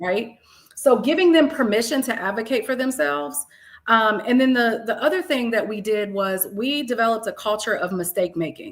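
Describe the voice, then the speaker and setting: Loud and at a moderate pace, a woman with a fairly high pitch speaks in very wide pitch swings. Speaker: math educator and leader. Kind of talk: casual interview conversation. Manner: animated.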